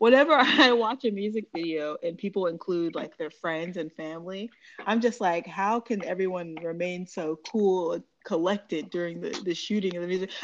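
A woman with an ordinary speaking voice, medium pitch, ordinary pitch variation and a moderate pace. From California. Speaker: podcast host, music interviewer. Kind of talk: casual interview.

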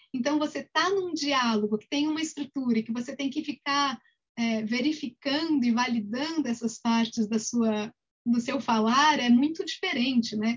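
The woman's pitch is high, and her pitch moves in an ordinary way. She keeps a moderate pace. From Brazil. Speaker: Buddhist teacher. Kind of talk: interview about personal spiritual journey.

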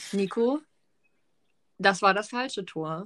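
At a fairly slow pace, a woman with a bright, sharp tone and medium pitch is heard in a very clean recording with a silent background. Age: 20s. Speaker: podcast co-host. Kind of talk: casual chat.

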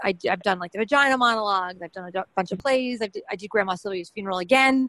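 This woman's voice sits at a medium pitch, with a bright, sharp tone, ordinary pitch variation, and a dry, close sound with no echo. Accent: American. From New York City. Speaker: stand-up comedian and mayoral candidate. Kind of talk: casual interview.

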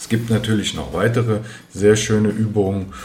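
Audible room echo and noticeable background noise surround a man speaking at a fairly low pitch in a monotone, flat intonation. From Germany, Frankfurt am Main. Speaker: athletic trainer and podcast host. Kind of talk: solo educational monologue.

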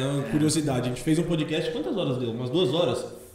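Noticeable background noise plus some audible echo from the room. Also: man. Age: 30s. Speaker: podcast co-host. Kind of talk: casual chat.

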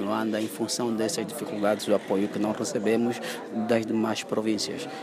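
A man's medium-pitched voice at a fairly quick pace, amid noticeable background noise. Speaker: theatre festival organiser. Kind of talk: interview.

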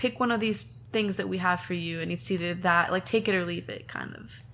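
The speech has vocal fry and is delivered in an American accent. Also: woman. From Southern California, Temecula. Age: 20s. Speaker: singer-songwriter. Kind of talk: interview.

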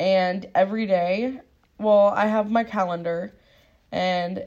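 A woman speaks at a medium pitch with fairly even intonation. She has a plain, everyday voice. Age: 20s. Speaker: podcast co-host. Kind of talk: casual chat.

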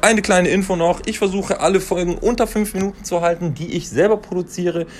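A man's high-pitched voice at a fairly quick pace. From Franconia, Germany (Fürth). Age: 20s. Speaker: insurance agent and podcaster. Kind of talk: casual solo podcast monologue.

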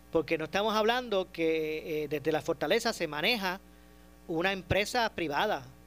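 Speaking at a moderate pace, a man uses high pitch with ordinary pitch variation. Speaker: radio host. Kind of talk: radio talk show with callers.

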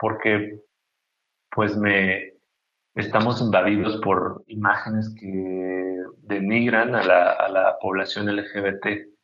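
Very slowly, a man speaks in a monotone, flat intonation. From Mexico, Chiapas (Tuxtla Gutiérrez). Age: 30s. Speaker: painter. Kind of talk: interview. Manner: halting, many repetitions.

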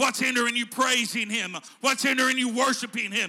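A man speaks at a moderate pace with a bright, sharp tone and extremely high pitch. His intonation stays fairly even.

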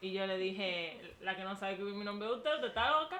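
A woman speaks at a very fast pace with very wide pitch swings. Room echo is audible, along with noticeable background noise. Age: 20s. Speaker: podcast co-host. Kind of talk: casual chat.

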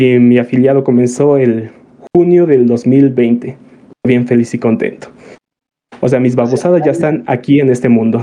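Over long, frequent pauses, a man with a Mexican accent speaks at a moderate pace and medium pitch, his dark, mellow tone held at very even loudness with ordinary pitch variation. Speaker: streamer. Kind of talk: casual chat. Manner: usually quiet, reserved talker.

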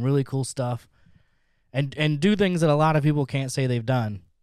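A normal speaking voice from a man at a medium pitch with ordinary pitch variation, on a very clean recording with a silent background. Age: 40s. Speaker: streamer and podcast guest. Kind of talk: casual chat.

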